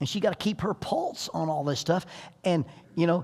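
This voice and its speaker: A man at a fairly quick pace with ordinary pitch variation, on a very clean recording with a silent background. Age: 60s. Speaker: parenting seminar speaker. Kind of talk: seminar talk.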